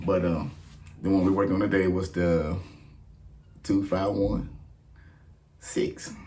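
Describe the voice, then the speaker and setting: With audible room echo, a man speaks at a fairly slow pace in a very deep, low, somewhat breathy voice and monotone, flat intonation. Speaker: gospel bass teacher. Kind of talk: tutorial. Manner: casual, filler-heavy.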